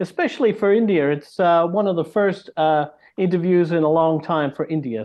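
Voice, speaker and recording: A man talks at a fairly quick pace. His fairly high voice has ordinary pitch variation. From Australia, Canberra. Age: 60s. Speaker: jazz fusion guitarist. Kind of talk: interview.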